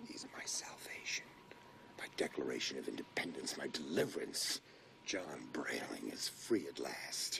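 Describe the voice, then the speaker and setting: A man whispers at a fairly slow pace. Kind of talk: dramatic film dialogue. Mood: gleeful, scheming excitement.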